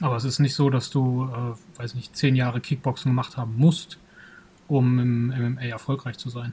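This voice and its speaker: This man's dark, mellow voice sits at medium pitch, somewhat breathy and monotone, moving at a moderate pace. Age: 30s. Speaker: kung fu school owner and podcast co-host. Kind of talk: casual chat.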